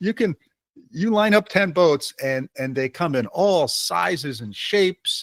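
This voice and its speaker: An American accent from a man, with very wide pitch swings, in a very clean recording with a silent background. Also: dry, close sound with no echo. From Michigan. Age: 70s. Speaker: podcast host. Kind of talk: casual interview chat.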